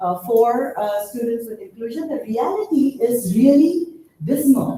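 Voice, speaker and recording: With very wide pitch swings, a woman speaks at a high pitch and a moderate pace in a room with audible echo. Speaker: university researcher. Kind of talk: conference presentation. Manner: halting, many fillers.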